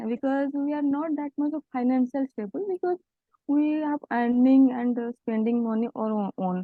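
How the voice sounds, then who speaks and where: A woman with an Odia accent speaks in a high voice. She keeps a moderate pace and ordinary pitch variation. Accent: Odia-accented Indian English. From village in Odisha, India. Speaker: EV startup founder, engineer. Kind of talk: interview answer. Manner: calm.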